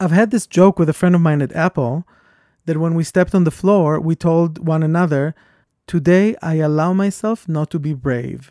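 A man's high-pitched voice with a non-native accent, dark, mellow tone and ordinary pitch variation, in a very clean recording with a silent background and a dry, close sound with no echo. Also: moderate pace. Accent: foreign-accented English. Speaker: podcast host. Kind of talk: casual conversation.

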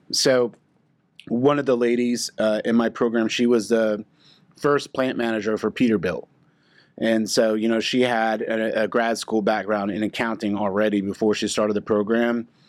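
A man at medium pitch, flat and monotone, at a moderate pace, on a very clean recording with a silent background. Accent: American. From Oklahoma. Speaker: insurance professional, former Marine. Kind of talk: casual interview chat. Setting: studio/office.

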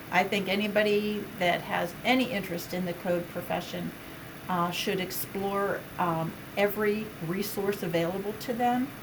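There is noticeable background noise and audible room echo as a woman with an American accent talks with ordinary pitch variation. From Western Pennsylvania. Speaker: state building code official. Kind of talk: interview.

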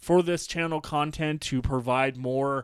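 A man's fairly high, ordinary speaking voice, with ordinary pitch variation, comes through a very clean recording with a silent background. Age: 30s. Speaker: sports podcast host. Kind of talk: solo podcast monologue.

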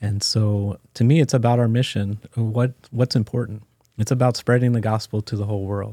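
A man with an American accent and a dark, mellow tone speaks at medium pitch and a moderate pace with fairly even intonation, in a dry, close, echo-free sound on a very clean recording with a silent background. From US Mid-Atlantic (Maryland, Washington DC area). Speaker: church finance officer. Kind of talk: interview.

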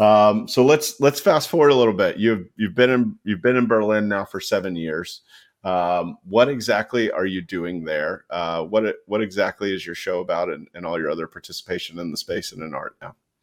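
In a very clean recording with a silent background, a man talks in an ordinary speaking voice, his loudness swinging widely and his intonation lively, with hardly any pauses. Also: fairly low pitch for a man, moderate pace. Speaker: podcast host. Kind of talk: casual interview chat.

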